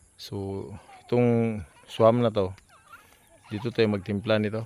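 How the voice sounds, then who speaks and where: Over noticeable background noise, the speaker talks at a fairly slow pace with monotone, flat intonation. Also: man. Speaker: farmer vlogger. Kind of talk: casual vlog narration. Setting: outdoors on farm.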